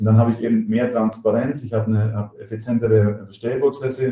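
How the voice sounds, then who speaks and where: Speaking at a very fast pace, a man has a medium-pitched, somewhat breathy voice with a dark, mellow tone. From Germany. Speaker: software company executive. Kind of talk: interview. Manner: halting, many fillers and repetitions.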